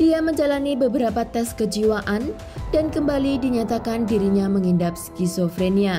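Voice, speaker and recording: A woman's fairly high voice with lively intonation at a moderate pace, with music in the background. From East Java, Indonesia. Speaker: true crime narrator. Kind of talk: true crime narration.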